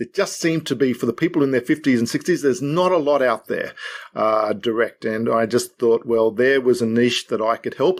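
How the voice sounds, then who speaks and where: With an Australian accent, a man of medium pitch speaks fairly quickly with ordinary pitch variation, in a very clean recording with a silent background. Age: 60s. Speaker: financial adviser and author. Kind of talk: podcast interview. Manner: halting.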